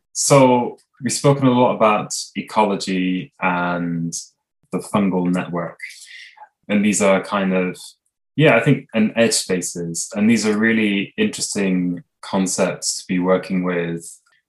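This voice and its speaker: A man speaks in an ordinary speaking voice at a fairly low pitch. His pace is fairly slow, with ordinary pitch variation. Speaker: researcher and podcast host. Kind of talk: interview.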